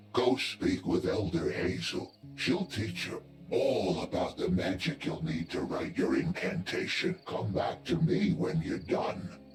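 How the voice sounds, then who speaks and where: Using a put-on character voice, a man speaks at a fairly slow pace, with clear background noise and a slight echo. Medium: video game. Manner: brisk, wry.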